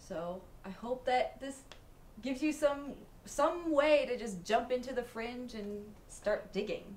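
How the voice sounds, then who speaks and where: Over noticeable background noise and audible room echo, a woman with a high pitch speaks at a fairly slow pace, her intonation lively and her loudness swinging widely. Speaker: podcast host. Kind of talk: casual chat. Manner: talks close to the mic, causes clipping.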